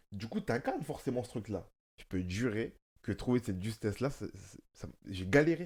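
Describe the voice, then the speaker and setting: At a moderate pace, a man with a medium pitch speaks somewhat breathily, with lively intonation and big swings in loudness. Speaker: actor and podcast host. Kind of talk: casual chat.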